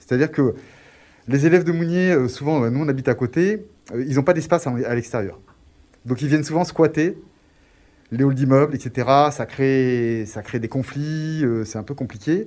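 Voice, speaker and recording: Speaking fairly slowly with long, frequent pauses, a man uses a fairly high pitch and ordinary pitch variation. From Grenoble, France. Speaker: community project proposer. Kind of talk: radio interview.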